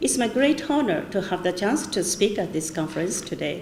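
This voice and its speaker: A woman at medium pitch swings very widely in pitch, with audible room echo and noticeable background noise. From China (Changchun), then Japan from age 12. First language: Chinese. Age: 70s. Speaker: scholar and author. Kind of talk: conference speech. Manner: halting, with many hesitations.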